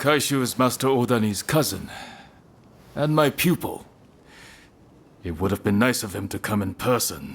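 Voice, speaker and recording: A man puts on a character voice with a confident tone. He keeps a moderate pace, leaving long, frequent pauses. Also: medium pitch for a man, lively intonation. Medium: video game. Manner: confident, challenging.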